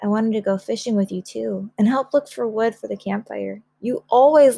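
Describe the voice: The background stays quiet. The speech is plain reading aloud.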